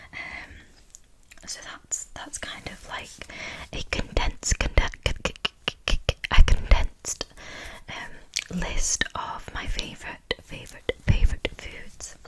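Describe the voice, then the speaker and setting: Someone is whispering. Noticeable background noise can be heard. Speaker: ASMR artist. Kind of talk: ASMR Q&A, soft-spoken talk to camera. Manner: soft-spoken, whispery.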